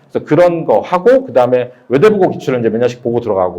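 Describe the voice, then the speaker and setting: A man at a fairly high pitch and a very fast pace, with very wide pitch swings. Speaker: math academy director. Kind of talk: admissions seminar talk.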